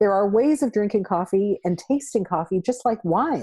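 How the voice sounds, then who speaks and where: A woman's dark, mellow voice with lively intonation, a fairly quick pace, and a dry, close sound with no echo. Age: 60s. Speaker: travel blogger. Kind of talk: casual interview chat.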